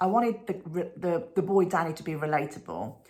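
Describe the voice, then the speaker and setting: In a Birmingham accent, a woman speaks with a fairly low pitch. Her pace is moderate and her pitch variation ordinary. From England, Birmingham. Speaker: children's author. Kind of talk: talk to school pupils.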